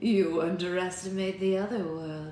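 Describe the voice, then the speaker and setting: A woman at a medium pitch does a put-on character voice with some hissing. She speaks at a moderate pace with a slight echo. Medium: read story.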